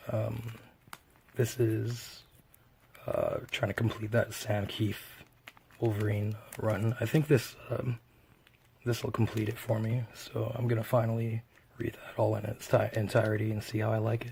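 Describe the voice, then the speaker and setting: A man speaks at a fairly slow pace with long, frequent pauses and monotone, flat intonation. His voice is somewhat breathy, with a dark, mellow tone. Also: medium pitch for a man. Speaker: comic book collector. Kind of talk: casual talk to camera.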